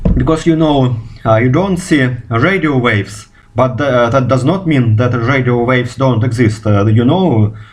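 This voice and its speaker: A man speaks with a Russian accent and very even loudness. The room echo is audible, and background noise is noticeable. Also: medium pitch for a man, ordinary pitch variation, moderate pace. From Russia, Moscow. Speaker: physicist. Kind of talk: video response monologue. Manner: halting, many fillers.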